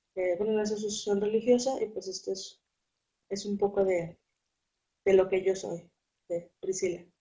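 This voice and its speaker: Somewhat breathy speech with a dark, mellow tone, monotone, flat intonation, a moderate pace and long, frequent pauses. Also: woman, medium pitch for a woman. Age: 20s. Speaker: accounting student. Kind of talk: interview.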